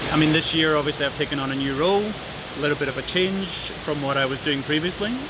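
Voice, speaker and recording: Speech comes at a very fast pace with ordinary pitch variation, with audible room echo and noticeable background noise. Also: man, fairly high pitch for a man. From Scotland. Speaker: corporate manager. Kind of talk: internal company video, conversational.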